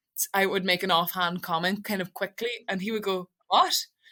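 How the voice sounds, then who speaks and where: A woman with a Donegal accent talks at a fairly quick pace in a bright, sharp tone and flat monotone on a very clean recording with a silent background. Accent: Donegal Irish English. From Ireland, Donegal Gaeltacht. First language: Irish. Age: 20s. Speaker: radio presenter. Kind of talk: interview conversation. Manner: fast, mumbling; emotional when speaking about the language.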